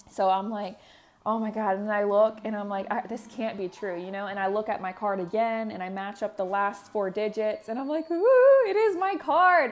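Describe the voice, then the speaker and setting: At a moderate pace, a woman with a fairly high pitch speaks in an animated tone with ordinary pitch variation. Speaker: devotional vlogger. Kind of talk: casual testimony.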